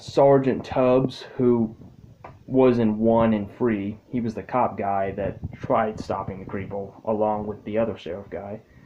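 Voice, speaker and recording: A mumbled, put-on character voice at a fairly slow pace. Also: man, medium pitch for a man. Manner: mumbling.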